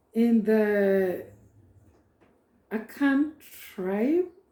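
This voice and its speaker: A woman's fairly high, somewhat breathy voice with a dark, mellow tone, ordinary pitch variation and a Ghanaian accent. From Ghana, Ashanti and Akyem. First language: Twi. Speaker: prophetess and cultural educator. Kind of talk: informal talk introducing a reading.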